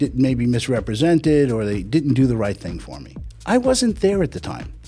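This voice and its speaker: With music in the background, a man speaks fairly quickly at a medium pitch, his voice making very wide pitch swings. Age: 60s. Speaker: life insurance agent. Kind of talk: casual interview.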